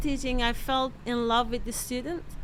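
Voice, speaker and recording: A woman's raised, projected voice with a bright, sharp tone and a Persian accent, at a moderate pace, with audible room echo. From Iran. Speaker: microbiology professor and novelist. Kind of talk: interview.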